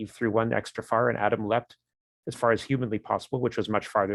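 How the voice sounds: Over a quiet background, the speaker reads in a natural reading voice with fairly even intonation.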